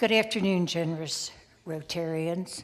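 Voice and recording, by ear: A woman talks at a fairly slow pace, her pitch fairly low with ordinary variation.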